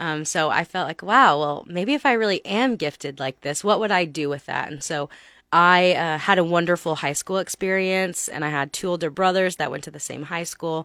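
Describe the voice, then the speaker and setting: A woman with an American accent speaks at a moderate pace and fairly low pitch with hardly any pauses, ordinary pitch variation and a bright, sharp tone, in a very clean recording with a silent background and a dry, close sound with no echo. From Texas. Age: 30s. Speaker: pastor. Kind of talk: radio interview. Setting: studio.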